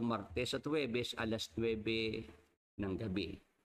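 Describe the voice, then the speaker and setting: A man talks at a moderate pace. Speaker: Bible study host. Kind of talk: Bible study livestream. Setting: live stream. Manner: halting.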